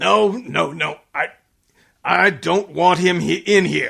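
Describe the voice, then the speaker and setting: A put-on character voice from a man, raspy and high-pitched, at a fairly slow pace. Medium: old radio play. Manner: gruff, blustering.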